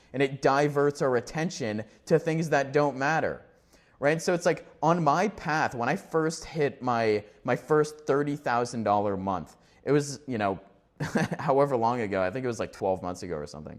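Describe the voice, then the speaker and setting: A man speaks with lively intonation at a fairly high pitch, recorded very cleanly against a silent background. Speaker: business coach / entrepreneur YouTuber. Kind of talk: solo talking-head video. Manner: fast; halting, many fillers and restarts.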